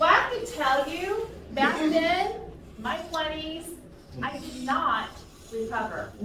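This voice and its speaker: A woman's extremely high, raised and projected voice with very wide pitch swings and big swings in loudness, at a very slow pace with long, frequent pauses, amid noticeable background noise and audible room echo. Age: 50s. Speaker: public speaking workshop presenter. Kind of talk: conference workshop presentation. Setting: conference session with live audience.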